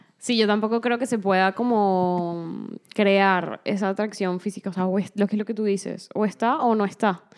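A woman speaks at a moderate pace with medium pitch, fairly even intonation and very even loudness, in a normal speaking voice with hardly any pauses. The recording is very clean, with a silent background. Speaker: podcast co-host. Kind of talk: casual chat.

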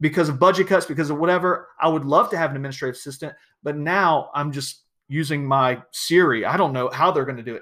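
A man with a Southern US accent, a fairly high pitch, ordinary pitch variation and a bright, sharp, animated tone, at a very fast pace in a very clean recording with a silent background. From US South, South Georgia. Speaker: podcast host, educational technology speaker. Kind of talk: casual solo podcast monologue.

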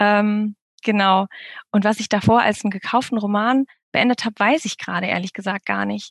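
A woman with a normal speaking voice talks at a moderate pace and medium pitch, her intonation fairly even. The recording sounds dry and close with no echo, over a quiet background. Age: 30s. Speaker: debut novelist. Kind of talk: interview.

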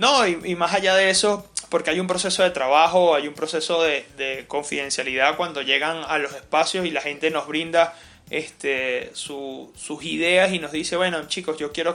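Keeping a moderate pace, a man talks in a fairly high, bright and sharp voice with fairly even intonation. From Caracas, Venezuela. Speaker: entrepreneur, coworking space founder. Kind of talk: interview conversation.

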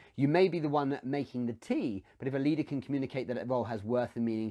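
The background is quiet as a man speaks at a very fast pace. His dark, mellow tone carries ordinary pitch variation. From UK. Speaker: business coach and show host. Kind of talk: live Q&A stream. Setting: livestream on social media.

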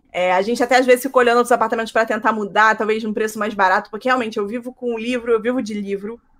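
A woman talks very fast at a fairly high pitch, barely pausing. Her intonation stays flat and monotone. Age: 30s. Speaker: writer. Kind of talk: casual chat.

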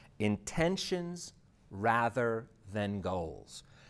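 A man speaks in a normal speaking voice, fairly low-pitched, with lively intonation, on a very clean recording over a silent background. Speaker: interviewer. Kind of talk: interview. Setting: studio.

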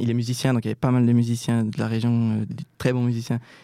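In a very clean recording with a silent background, a man speaks in a monotone, flat intonation. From Switzerland, Jura. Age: 20s. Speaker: student musician. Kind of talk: interview. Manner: halting, many hesitations.

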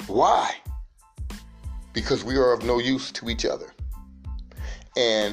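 A man's voice with music in the background. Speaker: podcast host. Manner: soft-spoken, not loud.

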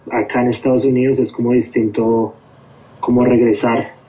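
A man at medium pitch talks at a fairly slow pace in a monotone, flat intonation. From Colombia, Bogotá. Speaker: hardcore band musician. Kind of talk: casual interview chat.

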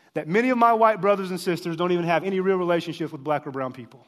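Speaking with an American accent, a man uses a high-pitched voice. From United States. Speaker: professor and preacher. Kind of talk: lecture-sermon at a conference. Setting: stage with audience.

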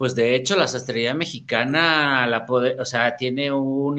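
A man speaks at a medium pitch with a bright, sharp tone. His intonation stays fairly even against a quiet background. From Mexico, Oaxaca (born Tehuacán, Puebla). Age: 40s. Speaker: menswear fashion designer. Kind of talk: interview.

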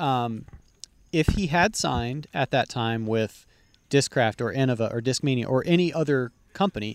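This man has a normal speaking voice at a medium pitch, with lively intonation. The sound is dry and close, with no echo. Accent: American. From Texas. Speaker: podcast host and disc golf player. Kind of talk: casual chat.

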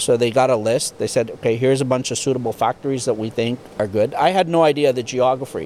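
With a Canadian accent, a man speaks at a medium pitch and a very fast pace, hardly pausing at all. His pitch varies in an ordinary way over noticeable background noise. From Canada, rural Ontario near Ottawa. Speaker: tow truck manufacturer, business owner. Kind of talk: interview, casual chat. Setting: factory.

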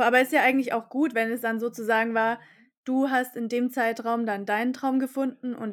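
Fairly high in pitch, a woman has an ordinary speaking voice. She keeps a moderate pace in a very clean recording with a silent background. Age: 20s. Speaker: podcast host. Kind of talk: podcast interview.

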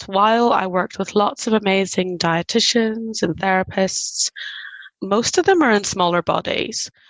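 A plain, everyday voice, it keeps to a moderate pace. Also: woman. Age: 40s. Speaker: body liberation coach. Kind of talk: interview conversation.

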